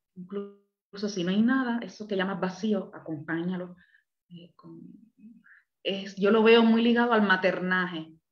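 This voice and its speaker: Music plays behind a woman who speaks fairly slowly at a medium pitch, her intonation fairly even, her loudness swinging widely and her pauses long and frequent. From Cuba, Havana. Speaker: therapist and counselor. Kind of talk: interview.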